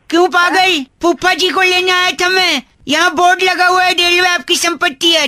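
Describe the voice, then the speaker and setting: Pitched extremely high, a put-on character voice runs at a moderate pace with hardly any pauses. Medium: comedy sketch. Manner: cheeky, teasing.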